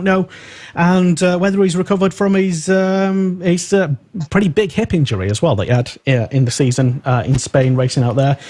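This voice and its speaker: A man with an English accent, lively intonation and a fairly quick pace. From England. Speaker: radio host. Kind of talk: live radio show chat. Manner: halting, many fillers.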